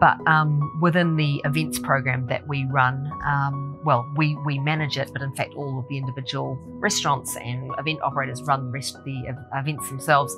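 Over clear music in the background, a woman talks at a moderate pace with hardly any pauses and ordinary pitch variation. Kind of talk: interview answer. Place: hall.

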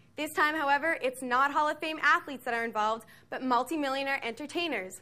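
A woman talks at a fairly quick pace in a bright, sharp tone with ordinary pitch variation.

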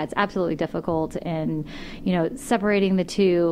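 Light background noise behind a woman's moderate pace. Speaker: podcast host or guest. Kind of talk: interview answer. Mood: cheerful, laughing. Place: studio. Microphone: studio mic.

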